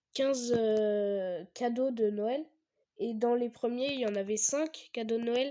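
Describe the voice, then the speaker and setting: A dark, mellow tone, fairly even intonation and a very slow pace. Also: woman. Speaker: gaming youtuber. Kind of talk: gameplay commentary. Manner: halting, many fillers.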